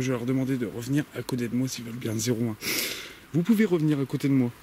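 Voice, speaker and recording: Quiet and very fast, a man speaks at a medium pitch. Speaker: paranormal investigator youtuber. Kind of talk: solo on-location investigation commentary. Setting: outdoors in a forest at night. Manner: speaking very quietly, hushed.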